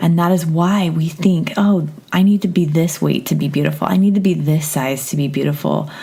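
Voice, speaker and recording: A woman's fairly low voice at a moderate pace, calm and relaxed in tone, over noticeable background noise. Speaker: podcast host and therapist. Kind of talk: casual intro to a guided meditation. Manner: calm, relaxed.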